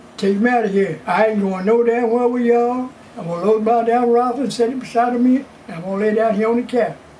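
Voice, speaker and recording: Noticeable background noise sits under speech whose intonation stays fairly even. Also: man. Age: 80s+. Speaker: blues musician. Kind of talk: interview answer.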